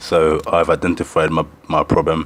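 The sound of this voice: A man speaks in an extremely low pitch. His intonation is monotone and flat.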